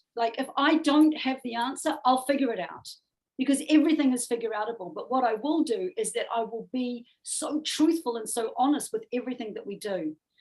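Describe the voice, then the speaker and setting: This woman has a strong New Zealand accent and a high pitch. Her intonation is lively. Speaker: music manager. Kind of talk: interview conversation. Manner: animated.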